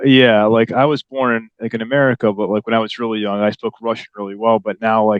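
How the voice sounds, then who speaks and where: Monotone and flat, a man of medium pitch speaks with hardly any pauses. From USA, Chicago. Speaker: podcast host. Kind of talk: interview. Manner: casual, filler-heavy.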